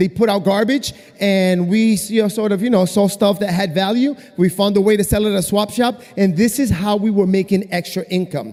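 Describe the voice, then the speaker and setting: A high-pitched man speaks at a fairly quick pace with fairly even intonation, while noticeable background noise is present. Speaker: network marketing distributor. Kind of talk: testimony. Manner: fast.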